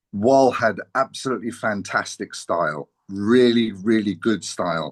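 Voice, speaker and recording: A man in a London accent talks at a fairly slow pace with medium pitch and ordinary pitch variation, in a dry, close sound with no echo against a quiet background. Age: 60s. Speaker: former musician, friend of band founder. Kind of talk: interview. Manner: halting.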